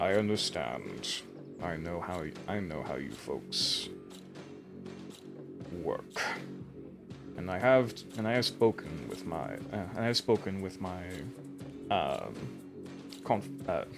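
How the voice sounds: A man uses a put-on character voice with very deep, low pitch, speaking at a fairly slow pace with long, frequent pauses. Clear music plays in the background.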